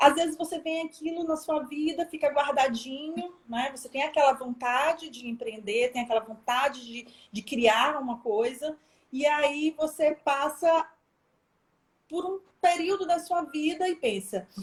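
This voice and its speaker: A woman with a high pitch and ordinary pitch variation speaks at a fairly slow pace. Her loudness swings widely. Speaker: professor, entrepreneur. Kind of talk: online talk on entrepreneurship. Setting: live video stream. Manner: animated.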